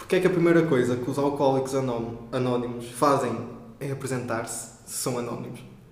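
Over noticeable background noise and audible room echo, a man speaks at a moderate pace with fairly even intonation. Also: medium pitch for a man. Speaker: podcast co-host. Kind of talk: casual chat.

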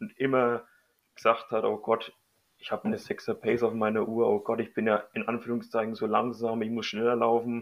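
A man speaks at a moderate pace in a medium pitch. His intonation is flat and monotone. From Middle Franconia, Bavaria. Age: 30s. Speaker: amateur runner. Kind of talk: casual interview.

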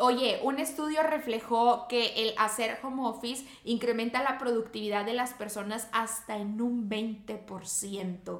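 Speaking very slowly with hardly any pauses, a woman with a Mexican accent uses a fairly high pitch and fairly even intonation against noticeable background noise. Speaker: podcast co-host. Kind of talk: casual chat.

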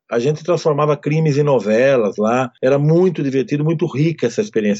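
Using a normal speaking voice, a man talks at a fairly quick pace and a fairly high pitch. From Brazil, interior of São Paulo state. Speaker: writer and screenwriter. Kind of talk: interview.

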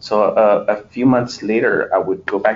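With a Spanish accent, a man is talking. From US, born in a Spanish-speaking country. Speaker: poet, interviewee. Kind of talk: interview. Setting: remote call from the US.

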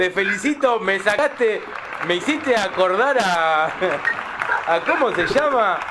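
In a raised, projected voice, a man with a high pitch talks at a very slow pace, his loudness very even and his intonation lively, as a crowd murmurs in the background. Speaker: radio host. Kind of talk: radio interview.

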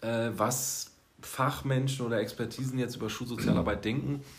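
A man talks at a medium pitch in a recording with audible room echo and noticeable background noise. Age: 30s. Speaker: school social worker. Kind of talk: casual chat. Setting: office.

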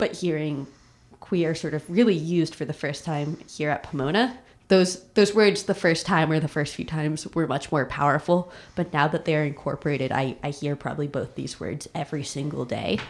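A woman with an American accent has a very deep, low pitch. She talks at a fairly quick pace with ordinary pitch variation. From New York City. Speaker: college student. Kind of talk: interview.

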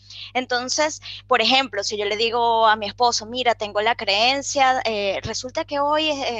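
A woman talks in a normal speaking voice at a moderate pace. Her pitch is fairly high, with ordinary pitch variation. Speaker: life coach. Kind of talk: interview conversation.

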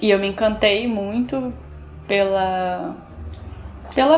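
Audible room echo surrounds a woman talking at a medium pitch and a very slow pace. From Brazil, São Gonçalo (Rio de Janeiro state). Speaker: poet and educator. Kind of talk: interview conversation about literature.

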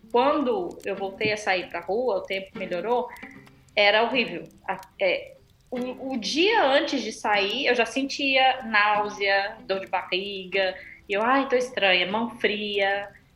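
With music in the background, a woman talks at a very slow pace in a fairly high pitch with ordinary pitch variation. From Brazil. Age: 30s. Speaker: amateur triathlete. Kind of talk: casual interview.

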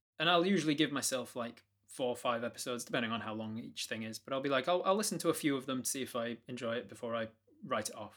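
With a British accent and lively intonation, a man talks at a very fast pace and medium pitch on a very clean recording with a silent background. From Britain. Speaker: game master and streamer. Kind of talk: casual interview.

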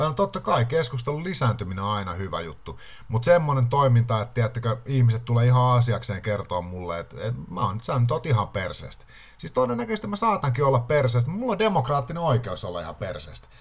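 A man with a medium-pitched, somewhat breathy voice talks at a very fast pace with lively intonation. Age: 30s. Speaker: podcast host. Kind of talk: casual monologue.

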